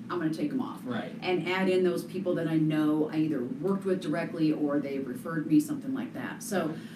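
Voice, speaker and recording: A woman with an American accent talks at a very fast pace with hardly any pauses. Her fairly low voice has lively intonation over noticeable background noise. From Colorado, US. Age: 40s. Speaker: real estate agent and radio/TV broadcaster. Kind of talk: interview.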